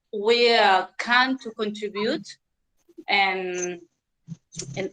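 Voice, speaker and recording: Speaking at a very slow pace, a woman has a Spanish accent. Her medium pitch shows ordinary variation. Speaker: English learner in online class. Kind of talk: class discussion. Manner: halting.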